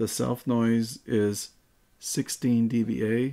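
Flat, monotone delivery from a man in a dark, mellow tone, quiet background. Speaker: tech reviewer. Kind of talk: tutorial. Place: home room. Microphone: studio mic.

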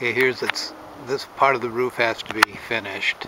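Loud background noise accompanies a man talking at a moderate pace in a dry sound with no echo. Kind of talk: casual narration while walking. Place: open country. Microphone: phone near.

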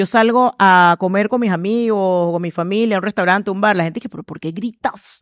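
A woman speaks at a fairly quick pace with fairly even intonation, the sound dry with no echo against a quiet background. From Panama. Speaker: communications trainer and speaker; communications trainer, speaker. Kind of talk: interview conversation. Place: studio. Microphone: headset.

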